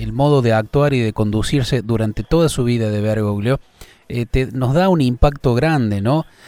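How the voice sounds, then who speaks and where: Speaking with an Argentine accent, a man has a dark, mellow tone, a moderate pace and ordinary pitch variation. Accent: Argentine Spanish (voseo). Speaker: radio host. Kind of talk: interview.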